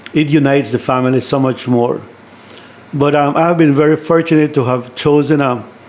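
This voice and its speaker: Fairly quick speech from a man with a fairly high pitch, fairly even intonation and very even loudness, over noticeable background noise. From Belize, San Pedro (Ambergris Caye). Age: 60s. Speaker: retired educator and community leader. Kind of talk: radio interview. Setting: studio.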